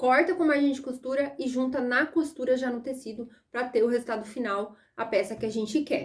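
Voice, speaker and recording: Her voice high-pitched, a woman speaks in an animated tone with ordinary pitch variation. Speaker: sewing and pattern-making teacher. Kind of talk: online lesson. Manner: fast.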